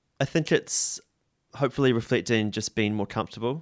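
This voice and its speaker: A man talks at a fairly quick clip in a New Zealand accent. The recording is very clean, with a silent background. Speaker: musician. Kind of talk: interview.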